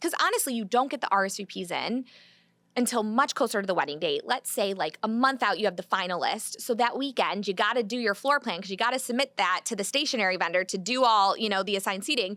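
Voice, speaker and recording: A very fast voice with a bright, sharp tone, ordinary pitch variation and a slight Michigan accent, on a very clean recording with a silent background. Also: woman, fairly high pitch for a woman. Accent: Michigan, slight, sharp A's. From US Midwest, Michigan. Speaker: wedding planner. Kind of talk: podcast interview. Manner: quick.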